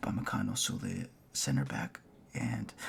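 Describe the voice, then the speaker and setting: Amid noticeable background noise, a man speaks quietly. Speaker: football fan youtuber. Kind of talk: casual video commentary.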